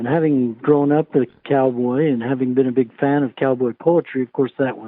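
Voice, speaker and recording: A man with an American accent has an unremarkable speaking voice, medium in pitch, with fairly even intonation at a moderate pace. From Utah, USA. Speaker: cowboy poet. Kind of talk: interview answer.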